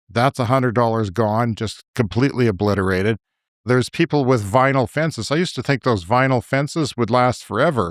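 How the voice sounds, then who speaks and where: A man with a western Canadian accent, medium pitch, ordinary pitch variation and a fairly quick pace, in a dry, close sound with no echo on a very clean recording with a silent background. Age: 50s. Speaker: podcast co-host. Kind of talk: casual chat. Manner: animated.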